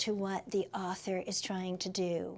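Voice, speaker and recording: A woman speaks in a tone that is dark and mellow. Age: 60s. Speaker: author. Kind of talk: interview.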